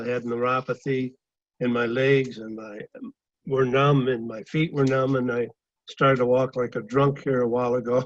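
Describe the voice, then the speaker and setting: The voice moves at a moderate pace in a monotone, flat intonation. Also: man. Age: 70s. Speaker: architect sharing product testimony. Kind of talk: testimony. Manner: halting.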